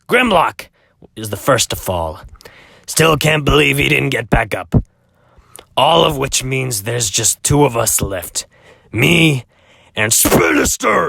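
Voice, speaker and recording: In a put-on character voice, a man talks at a medium pitch, raspy, with long, frequent pauses. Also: fairly slow pace. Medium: fan dub. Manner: rambling, self-distracted.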